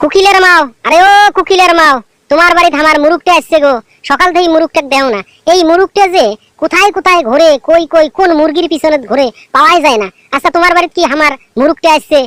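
A cartoonish character voice pitched extremely high. It moves along at a fairly quick pace. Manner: defiant, argumentative.

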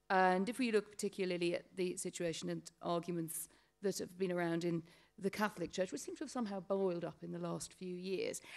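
Against a quiet background, a woman speaks with a British accent. Her pace is fairly quick and her intonation fairly even. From Britain. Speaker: panel moderator. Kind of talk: panel discussion. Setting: stage with audience. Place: hall. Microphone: podium.

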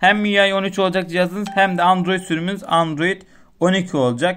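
At a moderate pace, a man is talking. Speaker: tech YouTuber. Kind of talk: tutorial. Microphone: phone near.

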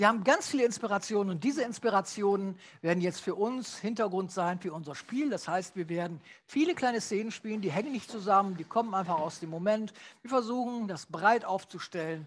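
Over light background noise, a man with a high pitch talks at a fairly quick pace with ordinary pitch variation. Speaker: host. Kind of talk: host addressing audience. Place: stage. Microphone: headset.

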